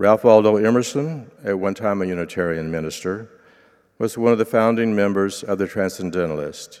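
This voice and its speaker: In a normal speaking voice, a man with an American accent and a fairly low pitch talks at a moderate pace with ordinary pitch variation, recorded very cleanly against a silent background. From Oklahoma. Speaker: lay preacher. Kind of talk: sermon.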